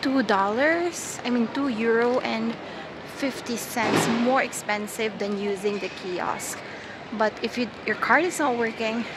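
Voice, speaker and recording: A woman speaks at a fairly slow pace with ordinary pitch variation. The sound is dry with no echo, though loud background noise fills the clip. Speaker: traveler vlogger. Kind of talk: casual vlog tutorial. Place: station. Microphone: earbuds.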